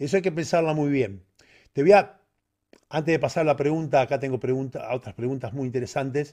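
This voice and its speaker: Over a quiet background, a man speaks with a fairly high pitch and a dark, mellow tone. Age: 50s. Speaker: bodybuilding coach. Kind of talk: live Q&A stream. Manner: halting. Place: home room. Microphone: studio mic.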